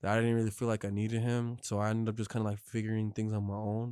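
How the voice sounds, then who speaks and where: The delivery is very fast, with a dark, mellow tone. Intonation stays monotone and flat. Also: man. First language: Spanish. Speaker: truck driver. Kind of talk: casual chat. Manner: casual Spanish-English code-switching.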